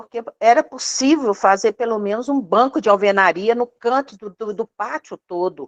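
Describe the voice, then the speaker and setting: A woman with a normal speaking voice, a fairly high pitch and a fairly slow pace, in a dry, close sound with no echo. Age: 60s. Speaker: audience member asking a question. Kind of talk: question to a lecturer.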